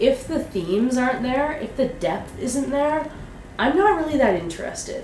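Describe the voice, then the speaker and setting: Audible room echo and noticeable background noise surround the recording. A woman speaks high for a woman, with very wide pitch swings. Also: moderate pace. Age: 30s. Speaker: fantasy author and vlogger. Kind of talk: casual vlog monologue. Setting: home vlog to camera. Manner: off the cuff.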